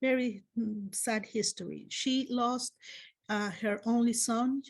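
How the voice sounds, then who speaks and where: A woman with a Spanish accent speaks at a fairly slow pace, her voice somewhat breathy and fairly high, with ordinary pitch variation. The background is quiet. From Spain. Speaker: clinical psychology professor. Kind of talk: lecture. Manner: halting, many fillers.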